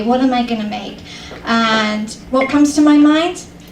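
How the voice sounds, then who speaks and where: A woman with a British accent at a moderate pace and ordinary pitch variation, with audible room echo and noticeable background noise. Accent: British accent, mistaken for Australian. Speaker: comedian. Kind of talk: stand-up. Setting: stage with audience.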